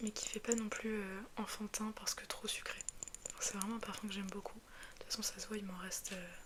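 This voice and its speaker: A woman whispers at a moderate pace. Noticeable background noise surrounds her. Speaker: ASMR creator. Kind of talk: ASMR casual talk to camera. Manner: soft-spoken.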